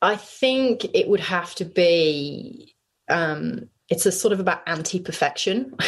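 The speaker has a British accent and lively intonation. The pace is fairly slow. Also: woman, medium pitch for a woman. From UK. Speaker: business founder and CEO. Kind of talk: interview. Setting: video call from bedroom.

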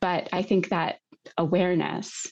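Here is a woman with an American accent. Her voice has vocal fry. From United States. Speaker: museum exhibit designer. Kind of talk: interview. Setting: studio.

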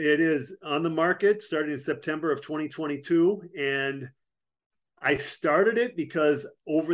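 A man with an American accent talks in a normal speaking voice, fairly high in pitch with ordinary pitch variation. The background is quiet. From Wisconsin. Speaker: army veteran and business consultant. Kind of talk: interview.

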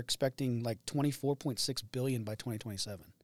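A man's medium-pitched voice, an unremarkable speaking voice with fairly even intonation. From Indiana. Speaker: agronomy product specialist. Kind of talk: casual interview. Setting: studio.

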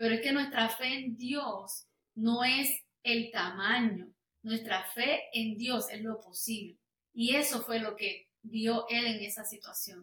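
This woman talks very slowly, her fairly high voice keeping a fairly even intonation. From Puerto Rico. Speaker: worship singer. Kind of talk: testimony interview.

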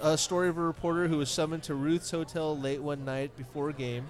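Backed by music, a man speaks at a fairly quick pace in a fairly high voice. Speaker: podcast co-host. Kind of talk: live podcast recording with audience, casual banter. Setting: live venue with audience.

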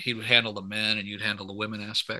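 With an American accent and a medium pitch, a man speaks against a quiet background. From Michigan, US Midwest. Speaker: pastor and podcast host. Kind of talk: interview.

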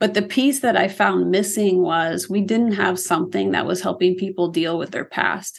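With a Midwestern accent, a woman speaks at a medium pitch and a moderate pace. Her voice carries vocal fry. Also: ordinary pitch variation, hardly any pauses. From Iowa, US Midwest. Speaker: ministry founder and former teacher. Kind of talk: interview.

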